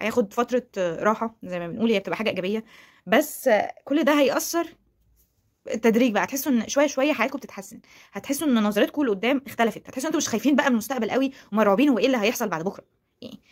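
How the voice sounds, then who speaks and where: In an Egyptian accent, a woman speaks at a very fast pace and a high pitch. Her tone is animated, her intonation lively, and the background quiet. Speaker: YouTuber. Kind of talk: motivational vlog talk. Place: home room. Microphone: phone near.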